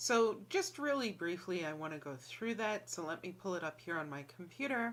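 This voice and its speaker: This woman has a New York accent and a fairly low pitch. Her intonation is lively. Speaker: college instructor. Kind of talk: lecture. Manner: casual, with many fillers.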